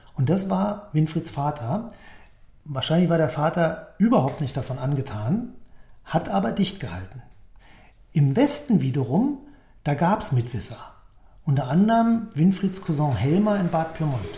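A man speaks in a dark, mellow tone with vocal fry and very wide pitch swings. Long, frequent pauses break up his speech. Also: fairly high pitch for a man, moderate pace. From West Berlin. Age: 50s. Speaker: management consultant, eyewitness in radio drama. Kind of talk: documentary narration. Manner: passionate, gripping storytelling.

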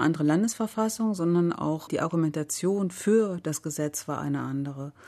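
At a moderate pace, a woman speaks with a fairly low pitch, a dark, mellow tone and ordinary pitch variation. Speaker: politician. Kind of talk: radio discussion. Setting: studio.

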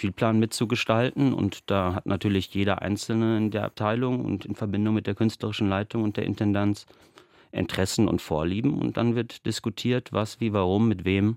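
In a dry, close recording with no echo, a man with an unremarkable speaking voice talks at a moderate pace, fairly low in pitch and fairly even in intonation. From western Germany (Bochum, Ruhr area). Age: 30s. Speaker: theatre dramaturge. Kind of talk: radio interview.

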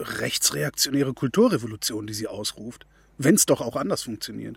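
A man's voice with vocal fry and ordinary pitch variation, very cleanly recorded against a silent background, dry and close with no echo. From Germany. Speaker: radio host. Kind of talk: interview.

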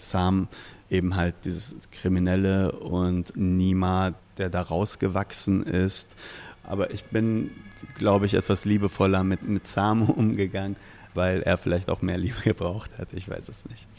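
Fairly even intonation runs through speech given at a fairly slow pace. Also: man, very deep, low pitch for a man. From Ruhr area, Germany (Iranian-born). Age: 40s. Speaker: novelist and bar owner. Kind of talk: interview. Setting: in a bar.

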